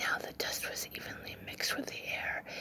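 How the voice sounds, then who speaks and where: Whispered speech from a woman, with noticeable background noise. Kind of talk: whispered ASMR book reading. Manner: whispered, soft.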